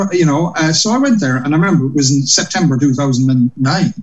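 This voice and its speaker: The intonation is lively. The speaker has a Cork accent. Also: man. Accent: Cork Irish. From Ireland, Cork. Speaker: comedian and compere. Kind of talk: casual interview.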